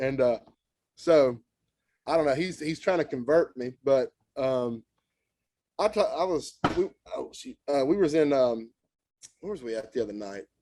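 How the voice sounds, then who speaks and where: Pausing long and often at a moderate pace, a man with a Southern US accent speaks at a fairly high pitch in a dark, mellow tone with lively intonation. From Tennessee. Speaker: country musician. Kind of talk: casual chat.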